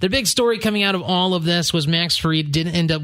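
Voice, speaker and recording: Over noticeable background noise, a man with a high pitch talks at a fairly quick pace with ordinary pitch variation. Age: 20s. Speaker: sports podcast co-host. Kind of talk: casual chat.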